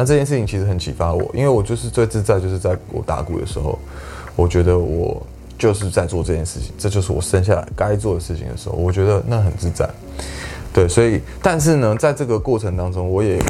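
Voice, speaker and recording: A man talks at a very fast pace with a very deep, low pitch, and noticeable background noise runs behind him. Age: 20s. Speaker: singer-songwriter and drummer. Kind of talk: casual interview.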